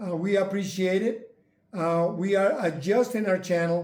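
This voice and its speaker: A man talks at a very slow pace with a high pitch and fairly even intonation. Audible room echo surrounds his voice. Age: 70s. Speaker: retired channel host sharing health journey. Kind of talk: casual chat.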